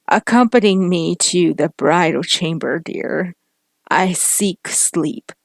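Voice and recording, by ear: A woman's put-on character voice, shaky and fairly low-pitched, with ordinary pitch variation at a fairly slow pace, in a dry, close sound with no echo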